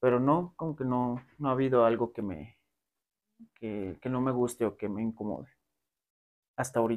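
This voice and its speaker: A man speaks at a moderate pace with a medium pitch, ordinary pitch variation, and long, frequent pauses. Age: 20s. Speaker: adult content creator. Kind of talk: interview. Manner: halting.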